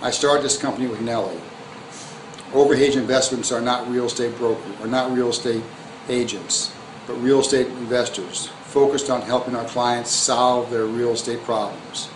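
A man with an American accent speaks at a medium pitch in a flat monotone, with noticeable background noise. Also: moderate pace. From US Midwest (Hammond, Indiana); Indiana. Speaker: real estate investor. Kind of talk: scripted promotional self-introduction. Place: home room. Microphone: phone near.

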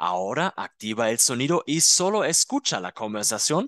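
The voice makes very wide pitch swings. The sound is dry and close with no echo, over a quiet background. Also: man. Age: 30s. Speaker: German teacher. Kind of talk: tutorial; scripted language-learning dialogue. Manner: slow.

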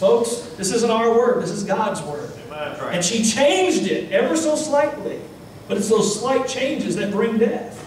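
A man speaks at a moderate pace with lively intonation and an extremely high pitch for a man. There is audible room echo and light background noise. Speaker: Baptist pastor. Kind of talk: sermon preaching to a congregation. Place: church.

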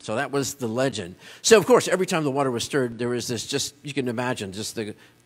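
A man speaks with music in the background. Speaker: pastor giving a sermon. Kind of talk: church sermon. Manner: conversational, sermon delivery. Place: church.

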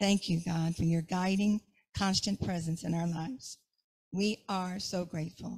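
Against a quiet background, a woman with a fairly low, somewhat breathy voice speaks in a playful tone at a fairly slow pace with fairly even intonation. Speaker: prayer leader. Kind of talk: affirmative prayer, gently guided, fervent and devotional. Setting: church service. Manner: warm, slow and soothing, with a calm meditative cadence; briefly playful, laughs at herself mid-prayer. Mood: calm, reverent. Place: church. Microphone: handheld.

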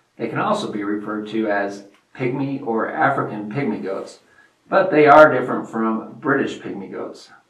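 With audible room echo, a man talks with ordinary pitch variation. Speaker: farm channel host. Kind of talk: educational presentation.

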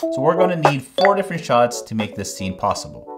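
Clear music sits in the background. A man talks at a fairly quick pace. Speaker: video creator. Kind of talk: tutorial. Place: studio.

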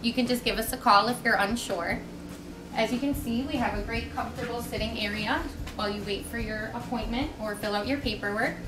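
A woman speaks fairly quickly, and noticeable background noise is present. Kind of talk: promotional tour talk.

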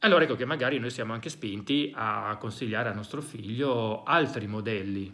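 In a quiet setting, a man speaks in a bright, sharp tone with ordinary pitch variation. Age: 40s. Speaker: psychologist and educator; educator. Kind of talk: educational monologue. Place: home room.

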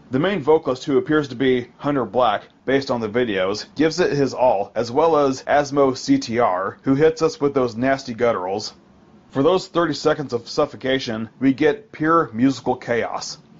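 A man's medium-pitched voice with an American accent, an ordinary speaking voice, ordinary pitch variation and a moderate pace. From United States. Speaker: metal album reviewer podcast host. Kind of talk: scripted album review monologue.

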